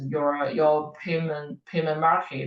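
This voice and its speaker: A woman with a Chinese accent. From China. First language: Mandarin Chinese. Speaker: professor. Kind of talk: lecture. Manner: halting, many fillers and repeats.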